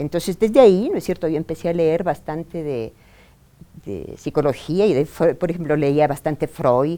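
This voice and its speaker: Very deep and low in pitch, a woman's voice has a dark, mellow tone and ordinary pitch variation. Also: moderate pace. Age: 60s. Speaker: women's rights activist. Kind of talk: interview testimony.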